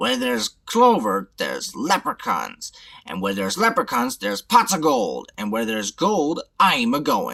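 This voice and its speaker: A man's put-on character voice, high-pitched, at a moderate pace with hardly any pauses. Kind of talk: pirate talk. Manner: grumbling, greedy.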